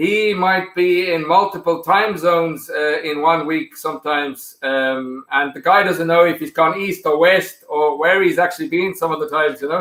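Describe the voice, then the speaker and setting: The speech moves at a moderate pace with ordinary pitch variation and hardly any pauses. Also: man, high pitch for a man. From South Africa. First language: Afrikaans. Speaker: whiskey blender. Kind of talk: podcast interview. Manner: hesitant, many fillers.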